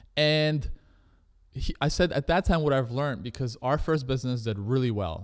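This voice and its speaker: On a very clean recording with a silent background, a man with a Canadian accent talks at a fairly quick pace with ordinary pitch variation. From Canada. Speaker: entrepreneur. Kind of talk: interview. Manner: fast.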